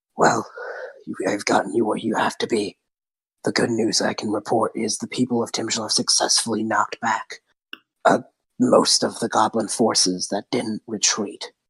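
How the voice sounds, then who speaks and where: Using a raspy, put-on character voice, a man speaks at a medium pitch. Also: moderate pace. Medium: actual play. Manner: urgent, cautioning.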